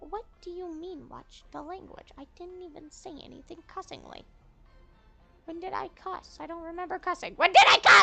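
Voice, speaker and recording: Faint music plays in the background. A put-on character voice with extremely high pitch speaks at a moderate pace. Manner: defensive, indignant.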